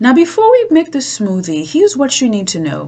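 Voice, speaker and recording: A woman speaks against noticeable background noise. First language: not English. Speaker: cooking show host. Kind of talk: cooking tutorial.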